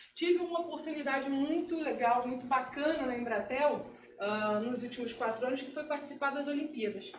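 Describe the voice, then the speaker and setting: Speech with a Carioca accent comes at a moderate pace with ordinary pitch variation, and audible room echo surrounds it. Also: woman, high pitch for a woman. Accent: carioca accent with hissing s sounds. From Brazil, Rio de Janeiro. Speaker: security analyst. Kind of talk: talk at meetup. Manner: casual.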